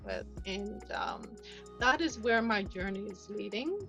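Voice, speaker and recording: Music plays in the background. The pace is moderate. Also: woman. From Canada. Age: 60s. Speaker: fashion model and actress. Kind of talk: interview answer.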